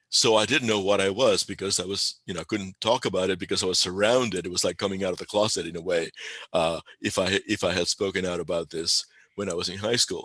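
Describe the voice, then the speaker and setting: Against a quiet background, a man with a Spanish accent speaks at a fairly quick pace with a fairly low pitch, a bright, sharp tone, fairly even intonation and a dry, close sound with no echo. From Spain (Galicia), Cuba and Puerto Rico. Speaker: pagan spiritual leader. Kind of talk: interview. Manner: halting, many repeated words and fillers.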